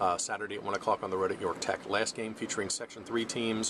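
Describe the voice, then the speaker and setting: Noticeable background noise accompanies a man with an American accent who speaks at a very fast pace and a fairly low pitch. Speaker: high school sports writer and video blogger. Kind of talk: sports preview monologue. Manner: animated.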